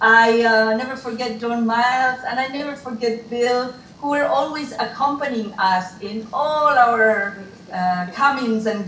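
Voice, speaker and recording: A woman with a high voice speaks fairly slowly amid light background noise and audible room echo. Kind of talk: reflective remarks at a reunion. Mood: warm, grateful, emotional. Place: home room. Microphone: video call.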